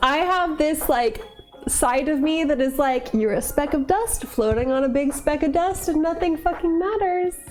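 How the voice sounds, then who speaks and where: With music in the background, a woman talks in a high pitch, keeping a very even loudness and lively intonation. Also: moderate pace. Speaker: livestreamer. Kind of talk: casual livestream chat while baking.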